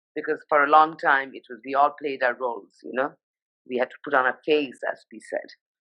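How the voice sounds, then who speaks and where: A woman with a Nepali accent, a very deep, low pitch, a fairly quick pace, a monotone, flat delivery and big swings in loudness. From India, Sikkim and Darjeeling (Nepali heritage). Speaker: fashion journalist. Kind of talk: casual interview. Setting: Instagram live video.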